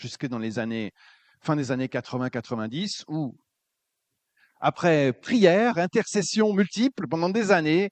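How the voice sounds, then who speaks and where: Over a quiet background, a man with a fairly high pitch and very wide pitch swings talks at a fairly slow pace with long, frequent pauses, the sound dry and close with no echo. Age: 60s. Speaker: preacher, former pastor. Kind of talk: sermon. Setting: church.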